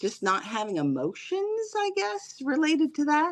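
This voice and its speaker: A plain, everyday voice from a woman, fairly slow in pace, with lively intonation. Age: 60s. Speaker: therapist. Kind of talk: testimony.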